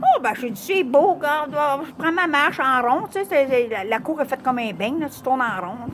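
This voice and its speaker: A high-pitched woman with a Quebec accent, speaking at a fairly slow pace with very wide pitch swings, over noticeable background noise. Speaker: vlogger. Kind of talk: personal testimony.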